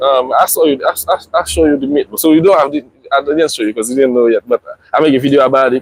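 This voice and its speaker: A man with a fairly high pitch speaks very fast with fairly even intonation, in a dry, close sound with no echo. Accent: strong Haitian. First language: Haitian Creole. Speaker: family vlogger. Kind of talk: casual live stream chat. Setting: outdoors. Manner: halting, many repetitions.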